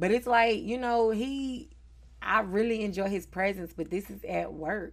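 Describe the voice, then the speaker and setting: In a very clean recording with a silent background, a woman with a Southern US accent talks at a fairly slow pace, her medium pitch showing ordinary variation. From Charlotte, North Carolina. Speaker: podcast host. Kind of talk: casual chat.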